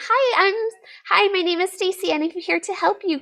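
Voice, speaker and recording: An extremely high, put-on character voice. It moves at a moderate pace. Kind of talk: polite, sweet. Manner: overly cheerful.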